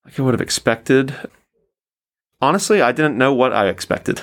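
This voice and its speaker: This man talks with a Southern US accent. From US South, Tennessee (Nashville). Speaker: English language assistant. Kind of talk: interview. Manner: casual, hesitant with fillers.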